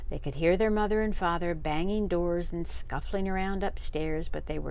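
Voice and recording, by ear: Someone reads the words aloud in a natural voice.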